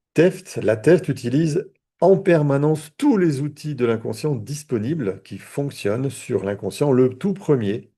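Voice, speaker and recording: A dark, mellow, somewhat breathy voice with lively intonation at a very slow pace, over a quiet background. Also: man, fairly high pitch for a man. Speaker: therapist and trainer. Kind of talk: online training lecture. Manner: hesitant, repeats words.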